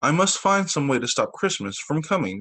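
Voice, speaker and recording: In a growling put-on character voice, a man speaks at a moderate pace with fairly high pitch and very wide pitch swings. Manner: growling, snarling.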